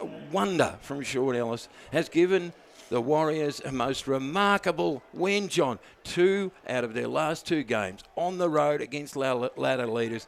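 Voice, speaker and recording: Speaking at a fairly slow pace, a man with an Australian accent has a fairly high voice. His intonation is lively. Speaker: football commentator. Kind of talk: live commentary. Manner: animated.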